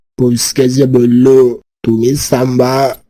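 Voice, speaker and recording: Putting on a cartoonish character voice, a man speaks at a medium pitch with monotone, flat intonation. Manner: repetitive, confused.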